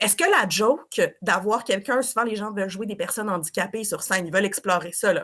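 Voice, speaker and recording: In a strong Quebec accent, a woman talks with an animated tone. Her pitch is fairly high. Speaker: improv performer and teacher. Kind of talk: podcast discussion.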